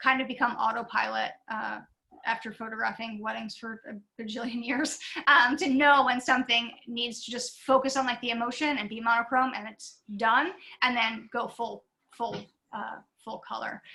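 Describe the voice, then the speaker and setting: At a moderate pace, a woman speaks in a normal speaking voice with a fairly high pitch, fairly even intonation and big swings in loudness. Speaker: visiting artist, portrait painter. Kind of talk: artist lecture Q&A. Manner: casual, many fillers.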